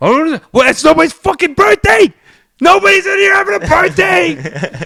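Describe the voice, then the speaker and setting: A man shouting at an extremely high pitch, bright and sharp in tone with lively intonation, in a dry, close sound with no echo. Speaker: DJ and podcast host. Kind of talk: casual chat. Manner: fast.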